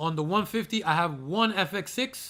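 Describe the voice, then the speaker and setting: A man talks loudly in a high pitch with a bright, sharp, animated tone and ordinary pitch variation. The recording is very clean with a silent background. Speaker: aquarium YouTuber. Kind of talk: live stream Q&A. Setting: live stream.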